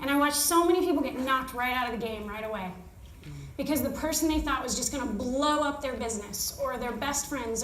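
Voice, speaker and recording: A woman's high-pitched voice with an American accent at a very fast pace, with audible room echo and noticeable background noise. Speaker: network marketing director. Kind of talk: motivational talk.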